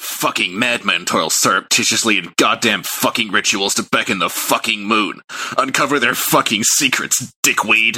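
Using a put-on character voice, a man speaks at a moderate pace in a medium pitch. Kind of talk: vulgar. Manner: raving, profane, ominous.

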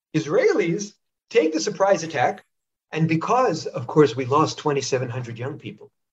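A man with an American accent speaks in an ordinary speaking voice at a fairly high pitch and fairly slow pace, with lively intonation and big swings in loudness. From northern US. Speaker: historian and author. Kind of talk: interview.

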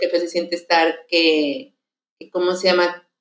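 Here is a woman with an unremarkable speaking voice at a fairly low pitch. She talks at a moderate pace. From Mexico. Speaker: lay missionary. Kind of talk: testimony.

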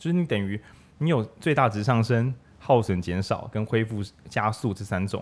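Recorded very cleanly with a silent background, a man speaks at a medium pitch with lively intonation. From Changhua, Taiwan. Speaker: bookstore radio host. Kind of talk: casual book discussion. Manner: animated.

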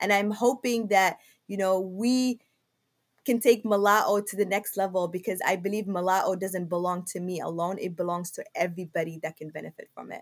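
With a Somali accent, a woman talks at a fairly quick pace and with fairly even intonation. Her loudness rises and falls in big swings. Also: medium pitch for a woman. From Somalia, Mogadishu. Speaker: logistics business owner. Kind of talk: interview. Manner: halting.

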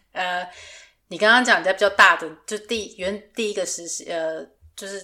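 A woman speaks at a moderate pace in a medium pitch, her tone bright and sharp, with ordinary pitch variation. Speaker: podcast host, fashion designer. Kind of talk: casual chat.

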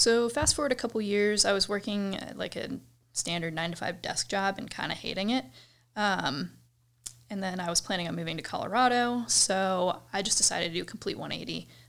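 With a Midwestern American accent, the speaker moves at a fairly quick pace with ordinary pitch variation on a very clean recording with a silent background. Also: woman, medium pitch for a woman. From US Midwest, suburbs of Cleveland, Ohio. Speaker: fitness coach. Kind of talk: casual interview.

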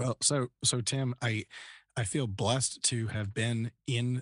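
A somewhat breathy man with an American accent and ordinary pitch variation, dry and close with no echo, against a quiet background. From Northern Virginia, US. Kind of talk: interview conversation.

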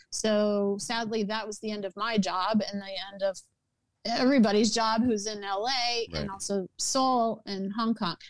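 An ordinary speaking voice from a woman with an American accent, fairly high in pitch, at a moderate pace with fairly even intonation. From US South, New Orleans. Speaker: entertainment producer and writer. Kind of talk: interview conversation.

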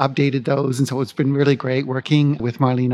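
A man talks at a fairly quick pace and a fairly high pitch. Noticeable background noise can be heard. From Vancouver, Canada. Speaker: city sustainability officer. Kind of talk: live interview at a conference. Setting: conference venue, recorded live.

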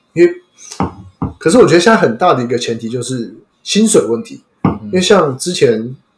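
A man's high-pitched voice with very wide pitch swings, big swings in loudness, a fairly quick pace and long, frequent pauses, over music in the background. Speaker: podcast host. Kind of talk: casual chat.

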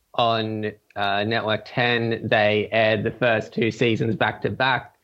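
Speaking very slowly with an Australian accent, a man keeps a medium pitch in a monotone, flat intonation. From Australia, Gold Coast. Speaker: podcast listener sharing a fan theory. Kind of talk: casual interview. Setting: Skype call.

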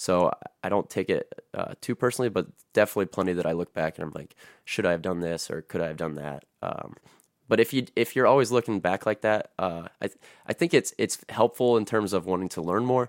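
Recorded with a dry, close sound and no echo, a man in an ordinary speaking voice talks fairly quickly with an American accent, a fairly low pitch and lively intonation. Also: very clean recording, silent background. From northwest Ohio, US. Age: 20s. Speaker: personal trainer and football coach. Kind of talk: casual chat.

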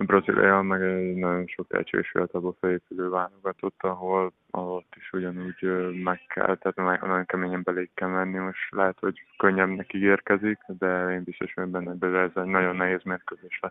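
A man with a very deep, low pitch talks at a moderate pace. His delivery has hardly any pauses and a monotone, flat intonation. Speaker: professional handball player. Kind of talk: radio interview. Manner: halting, repeats words.

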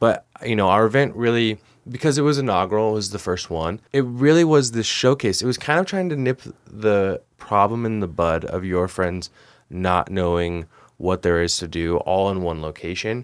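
Lively in intonation, a man with a fairly low pitch talks at a moderate pace on a very clean recording with a silent background. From Oklahoma City. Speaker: former tourism sales and content director. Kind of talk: casual chat. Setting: studio. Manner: animated.

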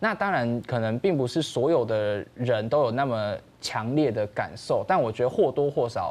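A man's normal speaking voice, medium in pitch, with lively intonation, a moderate pace and hardly any pauses. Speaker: documentary director. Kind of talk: interview.

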